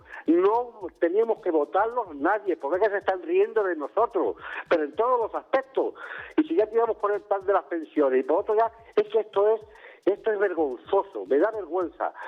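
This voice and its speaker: A voice at a moderate pace with lively intonation. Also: man, high pitch for a man. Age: 70s. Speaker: caller, retired worker. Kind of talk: call-in opinion. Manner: agitated, repetitive.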